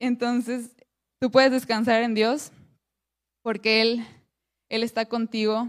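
Pausing long and often, a woman speaks at a very slow pace in a fairly high, monotone voice with flat intonation. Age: 20s. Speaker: women's ministry speaker. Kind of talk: sermon.

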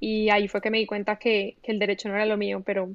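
Woman's medium-pitched voice at a fairly quick pace, with monotone, flat intonation. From Colombia, Medellín. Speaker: writer. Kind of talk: casual interview.

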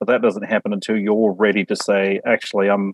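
With a rural New Zealand accent, a man talks at a fairly quick pace. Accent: New Zealand with country twang. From Samoa and New Zealand. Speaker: guest. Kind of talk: casual chat.

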